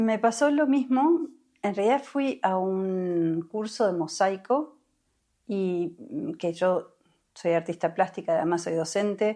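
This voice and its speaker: A woman's dark, mellow tone, very slow yet lively in intonation, over a quiet background. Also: medium pitch for a woman. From Uruguay. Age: 60s. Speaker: somatic experiencing therapist. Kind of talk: interview conversation. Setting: podcast recording.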